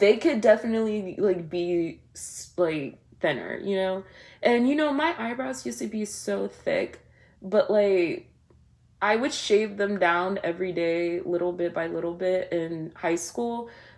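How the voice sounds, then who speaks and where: Speaking at a fairly slow pace, a woman has a medium pitch and lively intonation. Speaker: vlogger. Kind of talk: casual chat. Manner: loud; animated.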